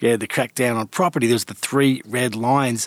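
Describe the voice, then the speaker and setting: A man with an Australian accent keeps his intonation fairly even, in a dry, close sound with no echo. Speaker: podcast host and editor. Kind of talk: interview.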